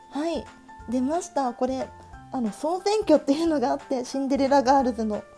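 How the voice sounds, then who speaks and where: A woman speaks in a high, excited voice with very wide pitch swings. Music plays in the background. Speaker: stationery YouTuber. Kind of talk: casual talk to camera. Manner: fast, higher-pitched, excited.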